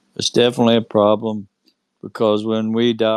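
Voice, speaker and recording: The speaker has a North Carolina accent and keeps a moderate pace. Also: man. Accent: Southern US (North Carolina). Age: 60s. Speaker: UFO experiencer. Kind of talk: casual chat. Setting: online audio space.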